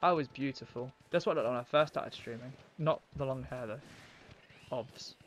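In a British accent, a man speaks at a fairly quick pace with ordinary pitch variation. Long, frequent pauses break his speech over light background noise. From United Kingdom. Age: young. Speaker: gaming streamer. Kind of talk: live-stream gameplay commentary. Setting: home, live stream. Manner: casual, rambling. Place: home room.

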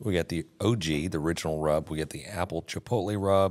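A man speaks in a very deep, low voice. His pitch varies in an ordinary way. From Texas. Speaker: barbecue podcast host; podcast host. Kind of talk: casual chat. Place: studio. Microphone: studio mic.

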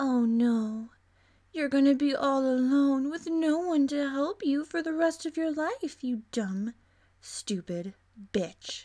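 A woman's high-pitched, put-on character voice, lively in intonation and fairly slow, on a very clean recording with a silent background. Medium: voice reel. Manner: sarcastic, cruel.

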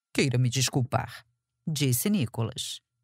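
A somewhat breathy woman at a fairly slow pace on a very clean recording with a silent background. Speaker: audiobook narrator. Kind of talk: audiobook reading of a historical romance novel, scripted narration with character voices. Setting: studio. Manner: measured, expressive storytelling pace, with dry wit and shifts of tone for dialogue.

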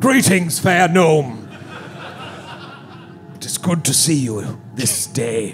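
A man puts on a character voice at a fairly high pitch. He speaks very slowly over clear background noise. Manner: formal, courtly.

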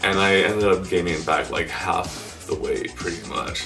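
Over clear background music, a man with a very deep, low voice speaks fairly slowly with ordinary pitch variation. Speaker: keto recipe vlogger. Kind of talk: casual talk to camera. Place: home room. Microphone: camera far.

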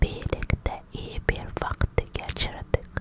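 Very slow whispering from a woman, with noticeable background noise behind her. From Africa. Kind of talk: ASMR whispered vlog. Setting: alone in her room in a foreign country. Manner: whispered, soft.

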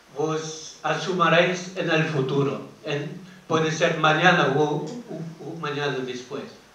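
Audible room echo around a male speaker's voice. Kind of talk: public talk. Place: hall.

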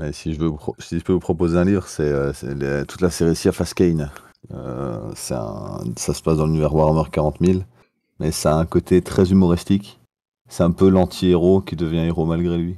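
A man speaks with a very deep, low pitch and a dark, mellow tone. His pace is moderate and his pitch variation ordinary. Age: 20s. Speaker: teacher. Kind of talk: casual chat.

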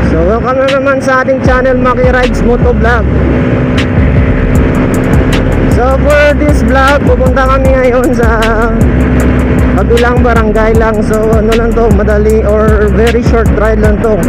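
Music plays in the background as the speaker goes at a fairly slow pace with long, frequent pauses. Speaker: motovlogger. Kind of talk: casual vlog chat. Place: motorbike. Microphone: phone near.

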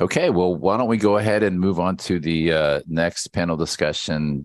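A man with an American accent against a quiet background. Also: dry sound with no echo. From California. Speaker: university school director and event host; event host. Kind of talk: symposium hosting and panel moderation. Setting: video call. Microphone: headset.

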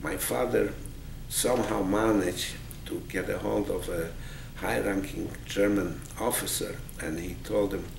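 Over noticeable background noise and audible room echo, a man with a very deep, low pitch speaks at a fairly slow pace with long, frequent pauses. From Poland. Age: 80s+. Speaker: Holocaust survivor and army veteran. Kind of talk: oral history interview. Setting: museum.

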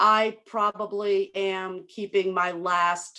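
A woman with a plain, everyday voice speaks at a medium pitch with fairly even intonation. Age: 60s. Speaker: dog breeder applicant. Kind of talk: public meeting discussion.

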